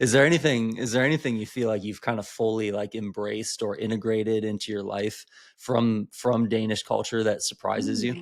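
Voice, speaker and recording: Speaking with an American accent, a man keeps a medium pitch and fairly even intonation at a fairly quick pace with hardly any pauses. The recording is very clean, the background silent. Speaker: podcast host. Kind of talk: podcast interview. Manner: monotone.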